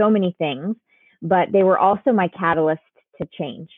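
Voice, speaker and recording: A woman with an American accent has an ordinary speaking voice, fairly low in pitch. She keeps a moderate pace with ordinary pitch variation. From US Northeast, Connecticut. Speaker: life coach. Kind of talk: interview.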